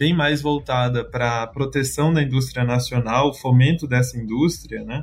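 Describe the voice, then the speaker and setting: With music in the background, the speaker has a Brazilian accent. Delivery is at a moderate pace with fairly even intonation. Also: man. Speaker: trade policy consultant. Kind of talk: panel discussion.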